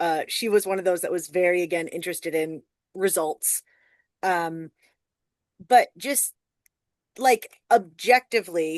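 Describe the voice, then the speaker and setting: A woman with an ordinary speaking voice and a medium pitch talks at a moderate pace with lively intonation, the sound dry and close with no echo. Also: quiet background. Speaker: storyteller. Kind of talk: casual chat.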